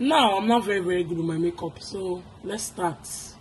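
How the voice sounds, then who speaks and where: A woman at a medium pitch talks at a moderate pace, with noticeable background noise behind her. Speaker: YouTube vlogger. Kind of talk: casual vlog chat.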